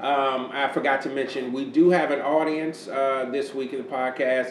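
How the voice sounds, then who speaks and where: Noticeable background noise accompanies a man talking at a medium pitch and a moderate pace. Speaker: podcast host and panel moderator. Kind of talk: casual panel chat podcast.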